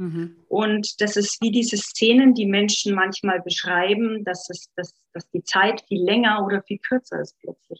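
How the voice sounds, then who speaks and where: A woman's somewhat breathy, medium-pitched voice moves at a fairly slow pace with fairly even intonation, big swings in loudness and hardly any pauses, in a dry, close sound with no echo. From Upper Franconia, Bavaria. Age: 30s. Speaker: life coach. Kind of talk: personal testimony in podcast interview.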